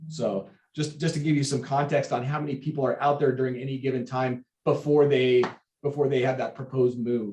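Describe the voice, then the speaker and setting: A man speaks fairly quickly at a medium pitch, keeping his intonation fairly even. His tone is dark and mellow, and somewhat breathy. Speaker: sheriff's station captain. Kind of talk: public meeting report. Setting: remote video meeting. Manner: fast.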